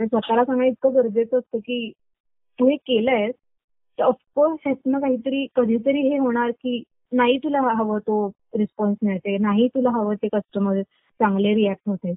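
Music plays in the background as a woman speaks at a fairly high pitch with fairly even intonation. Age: 20s. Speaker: small business owner, artist. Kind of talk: interview.

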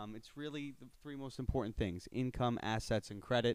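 This man has an ordinary speaking voice with an American accent. His pace is moderate and his pitch variation ordinary. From Long Island, New York (Suffolk County). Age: 20s. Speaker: mortgage broker. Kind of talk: casual interview chat.

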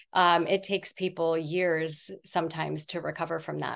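A woman talks at a moderate pace in a normal speaking voice. Her intonation is fairly even, and the background is quiet. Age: 40s. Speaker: fermented food business owner. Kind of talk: interview.

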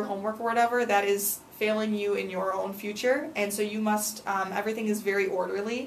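Over noticeable background noise, a woman speaks with a fairly high pitch, fairly even intonation and a moderate pace. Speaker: student teacher back from study abroad. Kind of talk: casual interview. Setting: studio. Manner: hesitant with many fillers.

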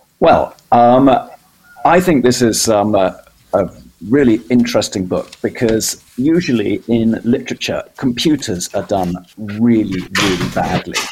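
A man speaks with a British accent at medium pitch. His pace is fairly slow and his intonation lively. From Britain. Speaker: publisher. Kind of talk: casual chat. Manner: halting, many fillers.

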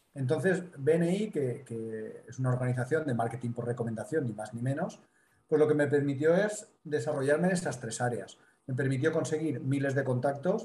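With a Spanish accent, a man speaks in a dark, mellow, somewhat breathy tone at a fairly high pitch. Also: ordinary pitch variation, moderate pace. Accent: Spanish (Spain). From Mediterranean Spain. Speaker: business consultant and speaker. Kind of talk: interview.

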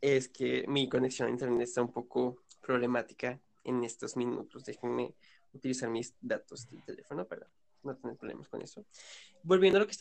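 Loudness swings widely as a man talks at a fairly quick pace. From Venezuela, Yaracuy. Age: 19. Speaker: podcast guest, Venezuelan migrant. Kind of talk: casual chat.

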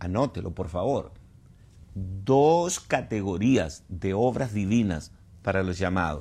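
In a room with audible echo, a man speaks very slowly in a fairly low voice with a dark, mellow tone and ordinary pitch variation. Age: 70s. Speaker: pastor and Bible teacher. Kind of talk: sermon-style Bible teaching. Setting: online livestream.

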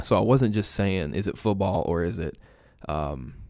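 In an American accent with vocal fry, the speaker goes at a fairly slow pace on a very clean recording with a silent background. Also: man. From East Alabama, US South. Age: 20s. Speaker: online pastor. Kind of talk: casual chat.

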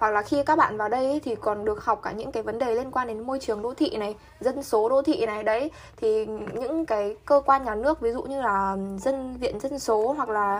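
A woman's fairly high voice with ordinary pitch variation, over music in the background. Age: 20s. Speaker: university student. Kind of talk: casual chat. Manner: animated.

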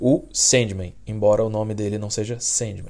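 A man with a Brazilian accent speaks at a moderate pace in a fairly low pitch, his tone dark and mellow, on a very clean recording with a silent background. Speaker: podcast host. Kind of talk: casual chat.

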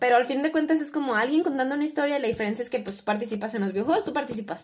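The voice is loud, with lively intonation. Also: woman. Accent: Mexican. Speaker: podcast co-host. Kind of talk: casual chat.

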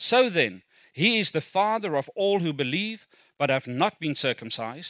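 Dry and close with no echo, the voice has a bright, sharp, animated tone and very wide pitch swings. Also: man. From South Africa. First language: Afrikaans. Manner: animated, informal, humorous.

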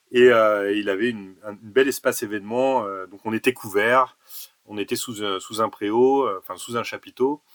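A man speaks slowly-ish in a plain, everyday voice at medium pitch, with fairly even intonation and big swings in loudness, the sound dry and close with no echo. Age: 40s. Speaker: basketball association president and tournament organizer. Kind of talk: podcast interview.

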